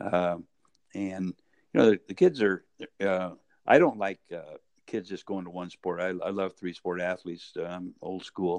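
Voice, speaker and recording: A man speaks at a fairly slow pace in a very deep, low voice with a flat, monotone delivery. His loudness swings widely, and the sound is dry and close with no echo. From US West Coast, Medford, Oregon. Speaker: retired college basketball coach. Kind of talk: interview. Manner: halting.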